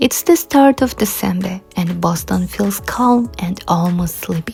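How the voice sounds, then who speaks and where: A woman talking very slowly over background music. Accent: Kazakh. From Kazakhstan. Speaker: travel vlogger. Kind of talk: travel vlog narration.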